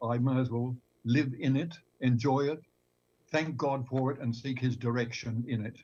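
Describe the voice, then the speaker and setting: With an Australian accent, a man talks at a moderate pace in a medium pitch, his tone dark and mellow, somewhat breathy, with fairly even intonation. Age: 80s+. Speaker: retired pastor. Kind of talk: panel discussion. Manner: halting, repeats words.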